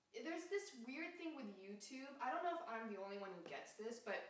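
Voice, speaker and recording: With audible room echo, a woman talks at a moderate pace, her pitch swinging very widely. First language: Japanese. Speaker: singer-songwriter and YouTuber. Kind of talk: casual comedic interview.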